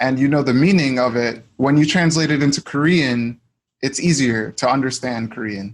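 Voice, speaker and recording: A man's unremarkable speaking voice at medium pitch with ordinary pitch variation. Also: moderate pace. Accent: American. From United States. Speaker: language learner. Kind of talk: casual chat.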